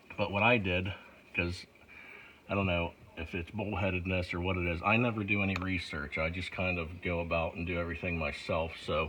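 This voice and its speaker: A man with a very deep, low voice speaks at a fairly quick pace with fairly even intonation over noticeable background noise. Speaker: auto mechanic. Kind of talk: repair tutorial. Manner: casual, conversational.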